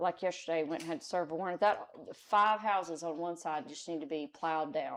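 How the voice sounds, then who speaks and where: A woman with a Texan accent, moderate in pace, with ordinary pitch variation. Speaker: citizen advisory committee member; city worker who serves warrants. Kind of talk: committee meeting discussion. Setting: town hall meeting room with microphones. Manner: loud.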